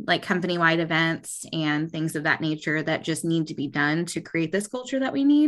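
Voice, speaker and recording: A woman with an American accent and an unremarkable speaking voice talks at a moderate pace, fairly low in pitch, with ordinary pitch variation and hardly any pauses. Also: quiet background. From Texas, Austin. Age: 20s. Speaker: HR manager, former kindergarten teacher. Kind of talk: casual interview.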